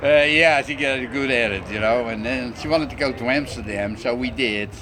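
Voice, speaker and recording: A man talks at a fairly quick pace and medium pitch, with ordinary pitch variation. Room echo is audible, along with noticeable background noise. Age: 60s. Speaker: cross-dresser. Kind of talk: interview. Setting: restaurant.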